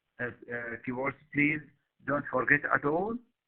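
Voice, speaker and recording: A man talks at medium pitch and a fairly slow pace. His pitch varies in an ordinary way. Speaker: university lecturer. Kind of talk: recorded lecture. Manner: halting, many fillers.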